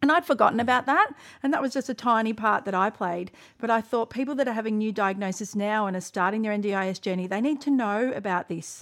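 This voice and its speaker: In an Australian accent, a woman talks at a very fast pace. Her pitch is fairly high. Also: ordinary pitch variation, very clean recording, silent background. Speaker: podcast host. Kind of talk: casual chat.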